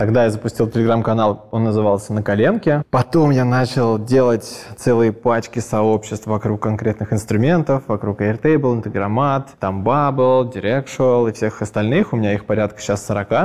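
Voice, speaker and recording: With an unremarkable speaking voice, a man talks at a moderate pace and medium pitch, his intonation fairly even and his speech hardly broken by pauses. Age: 30s. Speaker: entrepreneur. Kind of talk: interview.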